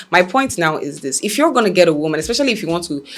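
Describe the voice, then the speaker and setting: A woman's fairly low voice with ordinary pitch variation over noticeable background noise. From Nigeria. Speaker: talk show host. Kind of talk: opinion commentary. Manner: animated.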